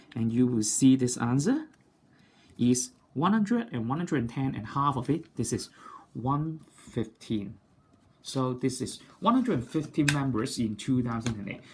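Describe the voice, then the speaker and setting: A somewhat breathy man's voice at medium pitch, with ordinary pitch variation and a moderate pace. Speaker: maths teacher. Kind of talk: tutorial.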